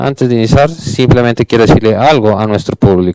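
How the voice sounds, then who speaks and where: Dry, close sound with no echo, carrying a man's medium-pitched voice at a moderate pace with ordinary pitch variation. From Canada. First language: English (speaking Spanish). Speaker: panel moderator, game industry manager. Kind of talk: conference panel introduction. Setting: stage with audience.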